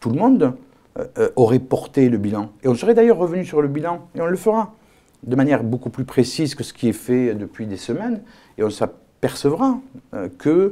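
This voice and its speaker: This man has a fairly high pitch and a dark, mellow tone. At a moderate pace, his pitch swings very widely and his loudness varies a lot. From Algeria, then France from age 5. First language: not French (speaking French). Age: 50s. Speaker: politician. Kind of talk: political interview. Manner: hesitant, many fillers.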